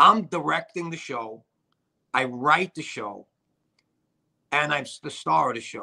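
A man with a strong Brooklyn accent talks at a fairly slow pace, leaving long, frequent pauses. His voice is fairly high and bright and sharp, with lively intonation over a quiet background. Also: big swings in loudness. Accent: strong Brooklyn New York. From New York. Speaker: actor and director; actor. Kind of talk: casual interview chat. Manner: halting, many fillers. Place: home room. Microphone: video call.

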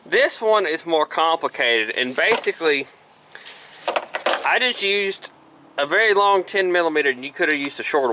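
A man speaks at a fairly quick pace. The sound is dry with no echo, and there is light background noise. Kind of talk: tutorial. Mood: casual, joking. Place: open country. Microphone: phone near.

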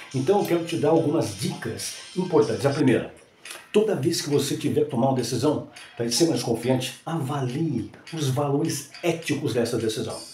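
Over faint background music and audible room echo, a man talks at a fairly quick pace with a fairly high pitch and ordinary pitch variation. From Brazil. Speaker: announcer, TV presenter. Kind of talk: motivational talk. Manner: casual, conversational. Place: home room.

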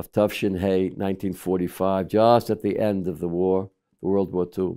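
A man talks at a very slow pace in a fairly low, dark, mellow voice. The background is quiet. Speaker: rabbi. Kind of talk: sermon. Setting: studio. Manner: formal. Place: home room.

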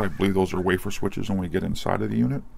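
A man speaks with vocal fry. Light background noise can be heard. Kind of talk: tutorial. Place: workshop. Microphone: phone near.

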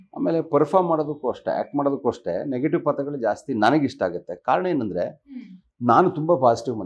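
A man talks with a fairly high pitch and lively intonation. Vocal fry runs through his voice. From Karnataka, India (Sakleshpur, Hassan district). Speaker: actor. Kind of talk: interview. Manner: clear articulation.

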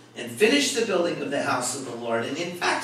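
A man's voice carries audible room echo with light background noise. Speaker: pastor teaching a Bible study. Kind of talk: sermon. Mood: warm, light humor. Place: church.

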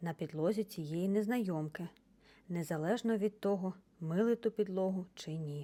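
Pitch moves up and down in an ordinary way. The delivery is plain reading aloud.

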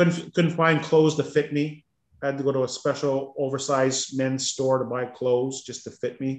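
At a moderate pace, a man speaks in a fairly high pitch with monotone, flat intonation. The room echo is audible, and the background is quiet. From Ontario, Canada. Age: 50s. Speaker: weight-loss coaching client. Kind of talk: casual interview. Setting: video call. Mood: candid, reflective. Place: home room. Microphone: video call.

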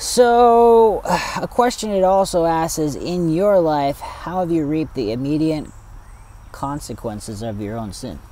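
Speaking at a fairly slow pace, a man with a fairly high pitch and a dark, mellow tone makes very wide pitch swings in a dry sound with no echo. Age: 30s. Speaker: Sabbath school discussion leader. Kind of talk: Bible study discussion. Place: forest.

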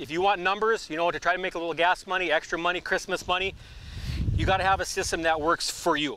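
A man's high-pitched voice at a very fast pace, dry with no echo, over light background noise. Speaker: professional trapper. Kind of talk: outdoor how-to demonstration. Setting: outdoors. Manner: casual, conversational. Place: waterside.

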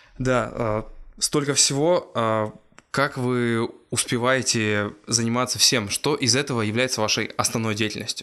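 A man's bright, sharp voice at a fairly slow pace, with fairly even intonation, very even loudness, and a quiet background. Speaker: podcast host. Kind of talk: interview. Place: office. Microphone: lapel.

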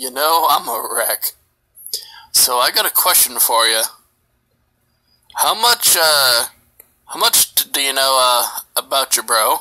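A man uses a put-on character voice, pitched fairly high. He leaves long, frequent pauses. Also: fairly slow pace. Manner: tired, suspicious.

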